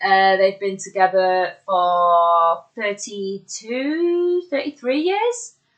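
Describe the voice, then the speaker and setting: A woman at a medium pitch and very slow pace, her intonation lively. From Bolton, northern England. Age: 30s. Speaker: musician and wrestling ring announcer. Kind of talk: casual interview chat. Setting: socially distanced in-person recording.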